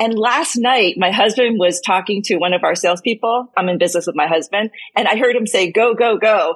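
An unremarkable speaking voice with an American accent, fairly quick pace, hardly any pauses, ordinary pitch variation and very even loudness. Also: woman, medium pitch for a woman. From US, Boston area. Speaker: writer and business owner. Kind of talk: casual chat.

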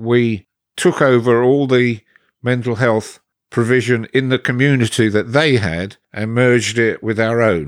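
A man with a London accent at a fairly slow pace. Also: medium pitch for a man, ordinary pitch variation, very clean recording, silent background. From London, Stoke Newington (Hackney). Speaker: retired solicitor and mental health charity founder. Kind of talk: interview.

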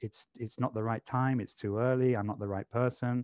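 A man with a London accent and ordinary pitch variation against a quiet background. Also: dry, close sound with no echo. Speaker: corporate leadership and change specialist. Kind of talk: podcast interview. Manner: casual, lots of fillers.

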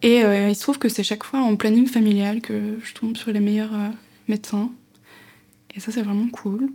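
A dark, mellow, somewhat breathy voice at a moderate pace, with monotone, flat intonation and long, frequent pauses. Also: woman, fairly high pitch for a woman. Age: 20s. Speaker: podcast co-host. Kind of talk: casual chat.

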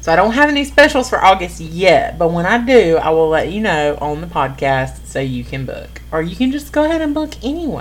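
Audible room echo and noticeable background noise surround a woman talking at a fairly quick pace with hardly any pauses. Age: 30s. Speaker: podcast co-host and tarot reader. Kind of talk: casual chat.

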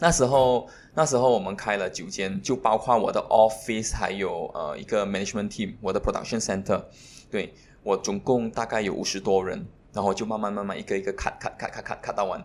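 Speaking at a fairly quick pace, a man with an ordinary speaking voice keeps a fairly low pitch and ordinary pitch variation. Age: 30s. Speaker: entrepreneur. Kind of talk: interview.

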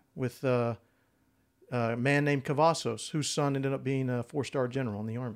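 An unremarkable speaking voice at a fairly quick pace with fairly even intonation, in a very clean recording with a silent background. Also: man, medium pitch for a man. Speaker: retired army colonel, guest. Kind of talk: casual discussion.

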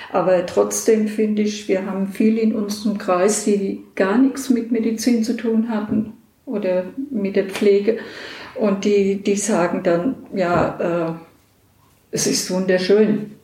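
Audible room echo surrounds a woman who talks very slowly with ordinary pitch variation. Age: 60s. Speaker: hospital volunteer visitor. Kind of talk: interview.

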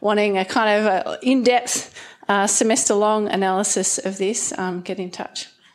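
A woman speaks with an Australian accent. Her pace is moderate and her intonation fairly even. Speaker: geographer, climate researcher. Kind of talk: panel discussion talk. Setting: stage with audience.

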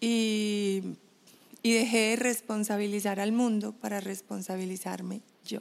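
The intonation is flat, a monotone. The pace is fairly slow. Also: woman, medium pitch for a woman. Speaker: brand strategist. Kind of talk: interview. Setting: home balcony.

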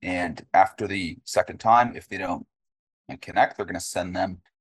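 A man speaks at a fairly quick pace. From Canada. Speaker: sales consultant. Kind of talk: interview.

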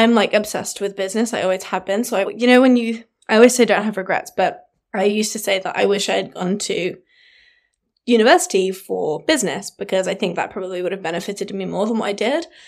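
A woman with a southern English accent speaks at a medium pitch, with ordinary pitch variation and vocal fry. Her recording is very clean, with a silent background. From England, Devon countryside. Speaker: brand designer and podcast host. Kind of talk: casual monologue.

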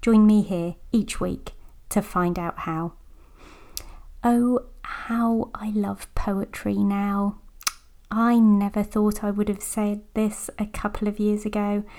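At a very slow pace, a woman speaks at a medium pitch in a warm, dark and mellow tone with monotone, flat intonation. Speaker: podcast host and alcohol-free coach. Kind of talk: poetry reading, gentle and comforting, between chatty intro and outro. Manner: warm, tender, slow and heartfelt delivery; encouraging, affectionate, direct address to listeners.

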